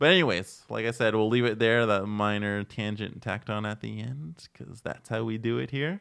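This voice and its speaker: A man with a normal speaking voice, fairly low pitch, lively intonation and a fairly quick pace. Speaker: podcast host. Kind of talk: casual chat. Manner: joking, chatty.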